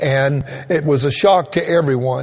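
Noticeable background noise accompanies a man speaking at a fairly slow pace. He has a fairly high pitch with ordinary variation. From Louisiana, Cajun. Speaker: pastor. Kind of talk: sermon. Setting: online streaming church service.

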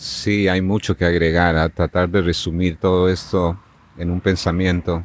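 A man speaks very slowly in a very deep, low pitch. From Bolivia, La Paz. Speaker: natural healer. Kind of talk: interview. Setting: outdoors in a park.

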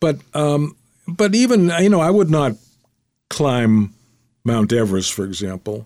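Speaking at a fairly slow pace with long, frequent pauses, a man uses a fairly high pitch that swings very widely. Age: 90s. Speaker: retired attorney and memoir author. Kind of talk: storytelling interview. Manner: halting, many fillers.

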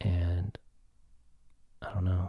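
Speaking with an American accent, a man has a dark, mellow tone that is somewhat breathy. The background is quiet. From US South. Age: 40s. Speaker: psychiatric nurse and base jumper. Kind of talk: casual chat. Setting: studio.

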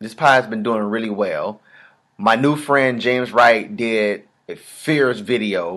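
A man with an ordinary speaking voice talks at a fairly slow pace. His pitch is medium, with ordinary pitch variation. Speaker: podcast host. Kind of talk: heated argument. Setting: in-person studio.

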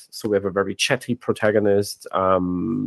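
A man speaks with a non-native accent. The sound is dry and close with no echo, against a quiet background. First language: not English. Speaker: game director and narrative designer. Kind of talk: casual interview chat. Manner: hesitant, many filler words.

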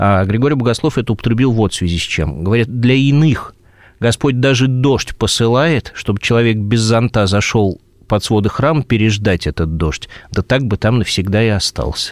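With an unremarkable speaking voice, a man of medium pitch talks at a moderate pace, with ordinary pitch variation and very even loudness. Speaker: Orthodox archpriest. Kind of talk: radio interview.

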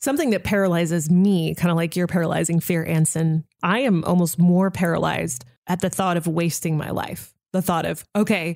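A woman speaks in a plain, everyday voice. Her pitch is fairly low, with ordinary variation. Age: 30s. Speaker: radio host. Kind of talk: casual chat.

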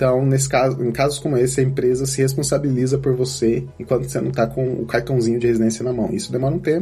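Talking at a very fast pace, this is a man. His pitch sits in the medium range. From Brazil, Campinas. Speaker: software engineer. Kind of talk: interview.

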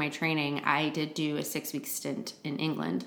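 Speaking at a moderate pace in a Midwestern accent, a woman is heard over noticeable background noise. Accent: general American Midwest. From Flint, Michigan; US Midwest. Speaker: podcast co-host. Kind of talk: casual chat.

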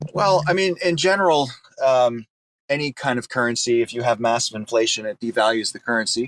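A man's normal speaking voice at a medium pitch, fairly quick and lively in intonation, with a dry, close sound and no echo. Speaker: NFT game project founder. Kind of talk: casual chat. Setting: online audio room.

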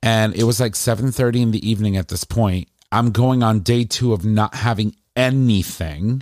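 A man with a normal speaking voice at medium pitch, moderate pace and fairly even intonation, in dry, close sound with no echo on a very clean recording with a silent background. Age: 40s. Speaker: podcast host. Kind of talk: casual chat. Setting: studio.

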